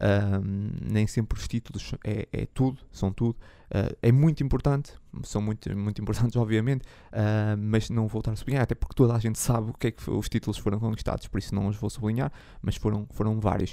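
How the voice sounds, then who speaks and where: A man's fairly low, dark and mellow voice at a fairly quick pace, with fairly even intonation. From Portugal, Braga. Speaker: football podcast host. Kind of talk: solo football commentary podcast. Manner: halting, many fillers.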